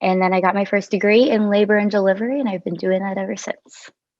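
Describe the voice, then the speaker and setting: A woman speaks with a New York accent. Her pace is fairly quick. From New York (Clifton Park area). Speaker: travel nurse. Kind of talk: casual chat. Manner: casual, lots of filler 'like'.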